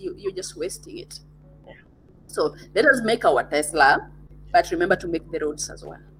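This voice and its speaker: A woman's voice with music in the background. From Kenya. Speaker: digital entrepreneur, podcaster. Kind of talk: interview conversation.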